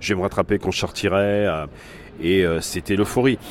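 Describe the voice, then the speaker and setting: A man's ordinary speaking voice, fairly low in pitch, with fairly even intonation at a moderate pace. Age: 50s. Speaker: start-up founder and gambler. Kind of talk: testimony.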